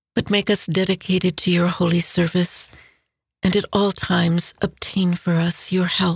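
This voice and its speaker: A woman speaks in a fairly low pitch, somewhat breathy, with monotone, flat intonation. Her pace is moderate, her loudness very even, and the sound is dry and close with no echo. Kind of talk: closing prayer. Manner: formal, reverent.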